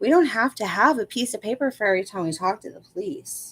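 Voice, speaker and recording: A woman speaks with an American accent and lively intonation at a fairly high pitch. The sound is dry and close, with no echo. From US South. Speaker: true crime commentator. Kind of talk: livestream commentary reading legal filing. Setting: livestream on laptop.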